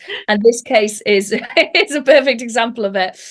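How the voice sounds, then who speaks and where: A woman with a North Welsh accent speaks at a fairly high pitch. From North Wales. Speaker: stand-up comedian and podcaster. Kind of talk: interview.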